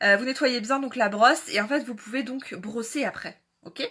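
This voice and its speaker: Her fairly high pitch, ordinary pitch variation and bright, sharp tone mark this woman's voice. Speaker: beauty livestreamer. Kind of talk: live tutorial. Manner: fast; hesitant with fillers.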